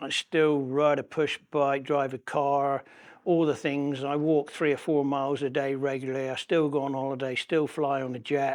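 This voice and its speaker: A fairly high-pitched man's voice in a West Country accent, moderate in pace and monotone and flat in intonation, against a quiet background. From West Country, England. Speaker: patient sharing his ostomy story. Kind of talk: personal testimony interview.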